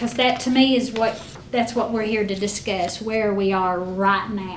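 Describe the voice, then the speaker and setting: A woman talks fairly slowly at a medium pitch with fairly even intonation. Noticeable background noise and audible room echo fill the recording. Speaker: school district finance officer. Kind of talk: board meeting financial report. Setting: school board meeting.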